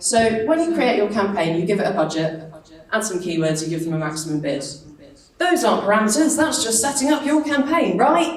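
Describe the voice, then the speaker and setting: The speaker sounds animated, with very wide pitch swings, audible room echo and noticeable background noise. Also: woman. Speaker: digital marketing speaker. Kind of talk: conference talk. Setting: stage with audience.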